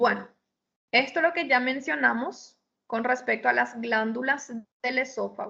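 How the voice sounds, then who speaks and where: At a fairly slow pace, a woman speaks in a high-pitched voice. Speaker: histology lecturer. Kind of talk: lecture.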